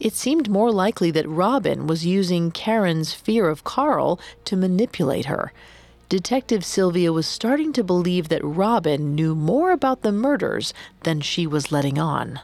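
A woman at a moderate pace, medium in pitch, with very wide pitch swings. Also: very even loudness. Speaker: podcast narrator. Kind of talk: true-crime narration. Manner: measured, grave storytelling tone.

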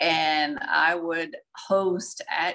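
Her voice is fairly low for a woman, bright and sharp in tone, with a south Louisiana accent. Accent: south Louisiana Southern US. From Louisiana, Donaldsonville. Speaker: maritime logistics and sales professional. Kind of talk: interview.

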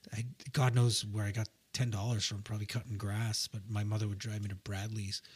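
A somewhat breathy, fairly low male voice with flat, monotone intonation. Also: fairly quick pace. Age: 40s. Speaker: musician in a rock band. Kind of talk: casual chat.

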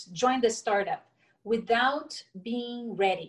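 At a fairly slow pace, a woman with a Portuguese accent speaks at a fairly high pitch. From Brazil, raised in Brasilia. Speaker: entrepreneur, former corporate executive. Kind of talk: interview conversation.

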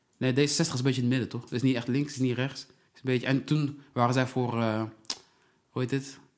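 Very fast, monotone speech with flat intonation and big swings in loudness. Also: man, medium pitch for a man. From southern Netherlands, Brabant. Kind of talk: casual chat.

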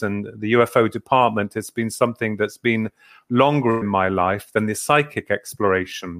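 This man speaks with an English accent at a medium pitch. His pace is moderate. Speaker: author and paranormal researcher. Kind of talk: interview.

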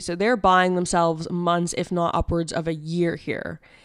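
In a very clean recording with a silent background, a woman with a Canadian accent speaks at a fairly low pitch in a normal speaking voice. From Ontario. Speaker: news podcast co-host. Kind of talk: casual news discussion; news reading and discussion.

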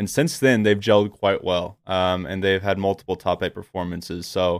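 A man with a normal speaking voice and fairly low pitch talks at a moderate pace in a very clean recording with a silent background. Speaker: esports podcast host. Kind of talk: casual chat.

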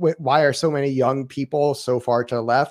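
The voice carries ordinary pitch variation and comes with an American accent. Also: man. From Lake County, Florida. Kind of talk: casual chat about books and politics. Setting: online video call. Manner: rambling, halting, many filler words.

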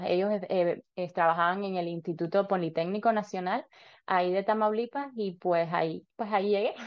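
In a slight Cuban accent, a woman talks at a moderate pace. Her pitch sits in the medium range with ordinary variation. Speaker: dentist and dental student. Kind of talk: interview.

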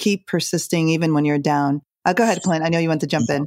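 A woman's fairly low voice at a very fast pace, fairly even in intonation, dry and close with no echo, on a very clean recording with a silent background. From Jamaica. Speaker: podcast co-host. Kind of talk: casual chat.

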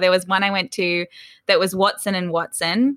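With an Australian accent, a woman talks at a fairly quick pace in a medium pitch. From Australia, Sydney. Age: 20s. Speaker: business founder. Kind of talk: casual chat.

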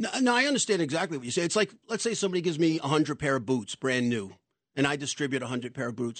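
A man with a New York accent races along at a very fast pace, his fairly high pitch making very wide swings. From New York City. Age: 60s. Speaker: doorman and charity founder. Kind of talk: radio interview. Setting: studio.

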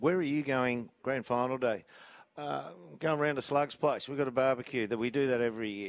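With an Australian accent and lively intonation, the speaker moves at a fairly quick pace in a dry, close sound with no echo. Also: man. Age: 50s. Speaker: football pundit. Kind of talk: live commentary. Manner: animated.

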